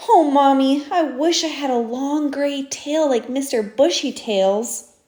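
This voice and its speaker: A put-on character voice delivers its lines at a fairly slow pace. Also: woman, high pitch for a woman. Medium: read story. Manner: wistful, small.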